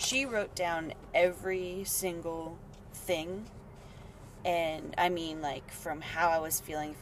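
The speaker is a woman with a fairly low pitch. Audible room echo surrounds her voice. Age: 20s. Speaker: yoga teacher and dancer. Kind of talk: casual interview chat.

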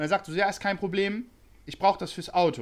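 At a very fast pace, a man talks in a high pitch. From Bremen, northern Germany. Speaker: customer support worker. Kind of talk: casual chat.

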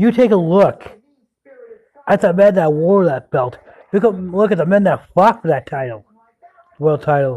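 A man with a high pitch and lively intonation talks at a moderate pace, leaving long, frequent pauses. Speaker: pro wrestler. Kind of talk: wrestling promo, a self-recorded tribute thanking legends and promoters.

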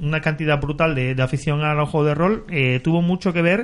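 A man with a fairly high pitch speaks at a fairly quick pace with ordinary pitch variation. He has a normal speaking voice. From Andalusia. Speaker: podcast co-host. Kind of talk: casual chat.

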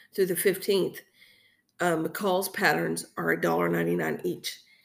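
Very slowly, a woman talks with an American accent. The recording is very clean, with a silent background. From Texas. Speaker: podcast host. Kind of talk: casual solo chat. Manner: rambling, filler-heavy, conversational.

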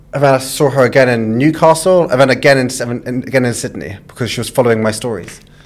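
Speaking at a very fast pace, a man with a medium pitch shows ordinary pitch variation. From London, England. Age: 20s. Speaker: food content creator. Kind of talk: casual chat. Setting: studio.

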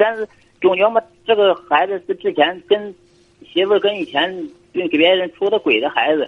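Lively intonation marks a man's speech, which moves at a moderate pace. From Shandong, Weihai. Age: 30s. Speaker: caller. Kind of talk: call-in advice chat.

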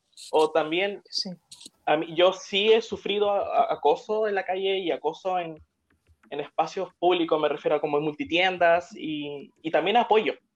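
A woman at a moderate pace. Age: 20s. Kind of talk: live stream interview chat.

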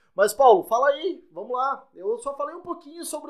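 In a raised, projected voice, a man speaks at a moderate pace with very wide pitch swings. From Santa Catarina, Brazil. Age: 20s. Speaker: podcast co-host, business administrator and DJ. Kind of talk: casual podcast chat.

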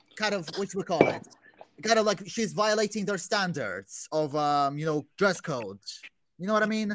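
A raised, projected voice carries lively intonation at a moderate pace. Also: man. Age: 20s. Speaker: youtuber and podcast co-host. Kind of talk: casual chat. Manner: halting.

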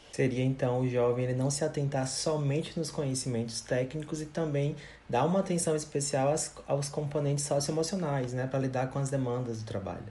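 There is audible room echo as a man with a fairly high pitch speaks with hardly any pauses and fairly even intonation. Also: moderate pace. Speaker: podcast host, psychologist. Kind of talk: interview. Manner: scripted.

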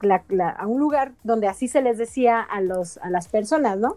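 The voice belongs to a woman. Her pitch rises and falls in a normal way. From Mexico City. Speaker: stand-up comedian and geographer. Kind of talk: casual chat.

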